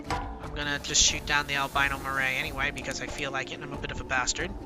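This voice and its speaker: A man speaks with music in the background. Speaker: video game let's play host. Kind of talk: casual gameplay commentary.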